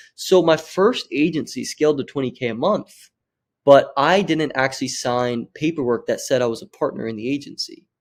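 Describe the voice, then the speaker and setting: A plain, everyday voice from a man, fairly high in pitch, with lively intonation at a moderate pace, on a very clean recording with a silent background. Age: 20s. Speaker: social media marketing agency owner. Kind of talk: podcast interview.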